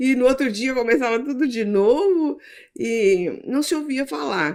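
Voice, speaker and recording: The woman's voice sits high in pitch. It swings very widely from note to note. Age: 60s. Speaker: church podcast host. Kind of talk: interview.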